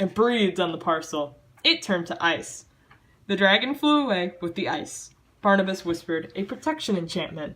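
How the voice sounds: The intonation rises and falls in a lively way as a natural reading voice carries the text.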